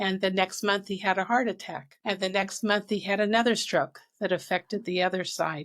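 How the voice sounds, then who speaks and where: A plain, everyday voice moves at a moderate pace with fairly even intonation in a very clean recording with a silent background. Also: woman. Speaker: author and speaker. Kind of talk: interview.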